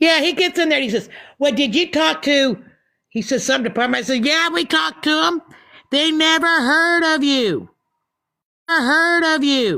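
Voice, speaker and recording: In a very clean recording with a silent background, a woman with a high pitch and a bright, sharp tone projects her raised voice at very even loudness, her intonation lively, her pace moderate and her pauses long and frequent. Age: 60s. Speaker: social media livestreamer. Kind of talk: casual chat. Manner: animated.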